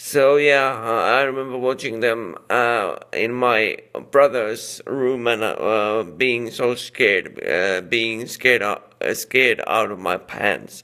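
A man talks at a very slow pace with ordinary pitch variation. His tone is bright and sharp, and the background is quiet. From Finland. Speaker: YouTube movie reviewer. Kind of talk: angry rant. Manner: irritated, sarcastic, blunt, hesitant with many fillers. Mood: exasperated, complaining. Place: home room. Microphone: phone near.

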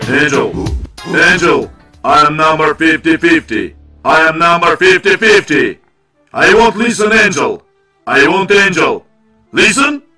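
Over faint background music, a man does a cartoonish character voice at a high pitch, moving at a fairly slow pace with long, frequent pauses. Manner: commanding, formal, repetitive.

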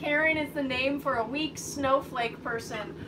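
With clear background noise behind her, a woman talks at a fairly slow pace in a high pitch. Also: ordinary pitch variation.

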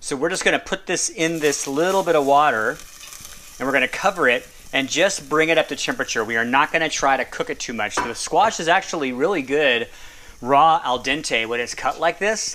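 Fairly rapid male speech over noticeable noise in the background. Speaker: home cook demonstrating a recipe. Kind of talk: tutorial. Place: kitchen.

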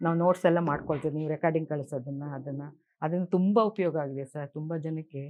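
A very deep, low-pitched woman's voice, its intonation fairly even. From Karnataka, Bengaluru. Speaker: retired stenographer, alternative therapy student. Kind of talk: testimony. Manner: halting.

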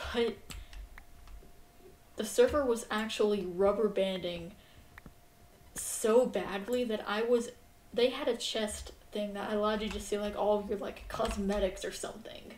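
Amid audible room echo, a woman with a fairly high voice speaks fairly slowly and evenly, pausing long and often. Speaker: gaming streamer. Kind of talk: casual chat. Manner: halting.

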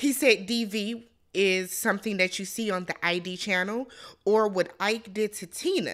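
Against a quiet background, a woman with a bright, sharp tone speaks at a fairly slow pace with ordinary pitch variation. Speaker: reality show reviewer. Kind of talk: commentary. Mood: indignant, critical. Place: home room. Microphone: studio mic.

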